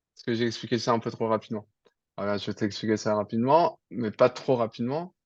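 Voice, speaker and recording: A man talks fairly quickly in a plain, everyday voice with ordinary pitch variation and big swings in loudness. The sound is dry and close with no echo, over a quiet background. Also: medium pitch for a man. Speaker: programming teacher. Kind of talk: online tutoring lesson.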